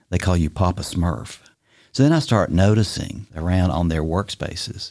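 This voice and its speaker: In a Tennessee accent, a man with a very deep, low voice speaks at a moderate pace on a very clean recording with a silent background. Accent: US Southern (Tennessee). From Tennessee (Bristol, East Tennessee). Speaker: retired business executive and boat captain. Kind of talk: casual interview.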